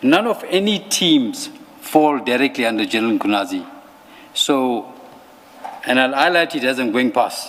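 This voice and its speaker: Over noticeable background noise, a man with a fairly high pitch speaks at a moderate pace using lively intonation. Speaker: police officer testifying at a commission. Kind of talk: testimony.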